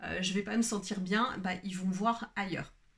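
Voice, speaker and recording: A woman speaks with fairly even intonation. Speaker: wellbeing coach and video creator. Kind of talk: unscripted solo video talk. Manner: slow; hesitant, many fillers.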